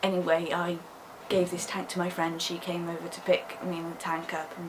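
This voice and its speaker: Over noticeable background noise, a woman with a fairly low pitch speaks in a flat monotone at a moderate pace. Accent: British. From England. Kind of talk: casual vlog talk to camera.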